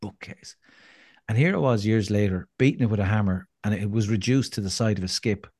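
Fairly quick speech in an Irish accent, with fairly even intonation over a quiet background. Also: man, fairly low pitch for a man. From Ireland. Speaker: motivational speaker and endurance fundraiser. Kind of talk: casual interview chat.

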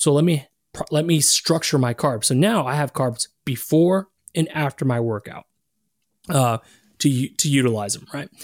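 A man speaks at a fairly slow pace in an ordinary speaking voice, with fairly high pitch and ordinary pitch variation. The recording is very clean with a silent background and a dry, close sound with no echo. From Texas. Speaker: health coach and keto influencer. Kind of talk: interview.

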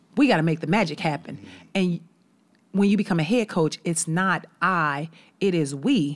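Recorded very cleanly over a silent background, a woman with an American accent talks at a moderate pace and fairly low pitch, with ordinary pitch variation and long, frequent pauses. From Chicago. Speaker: college basketball head coach. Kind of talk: casual interview chat. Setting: studio.

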